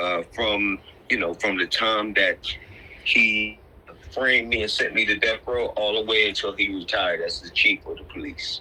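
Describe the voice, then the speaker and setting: A man in an American accent talks fairly slowly, with noticeable background noise behind him. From Philadelphia area. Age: 60s. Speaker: exonerated former prisoner. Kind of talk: interview.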